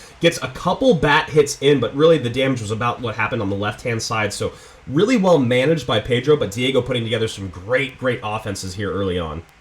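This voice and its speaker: Noticeable background noise accompanies a man talking at a very fast pace in an excited tone. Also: medium pitch for a man, hardly any pauses. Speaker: esports caster. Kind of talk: live esports play-by-play commentary.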